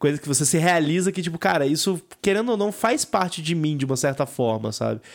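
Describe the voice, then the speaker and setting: A man talks in an ordinary speaking voice at a fairly high pitch. His intonation is lively and his pace moderate. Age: 20s. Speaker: podcast host. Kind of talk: casual chat.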